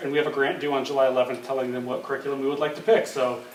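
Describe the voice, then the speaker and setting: A man's voice carries audible room echo over noticeable background noise. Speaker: school curriculum administrator. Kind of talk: presentation to school board. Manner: fast; hesitant fillers.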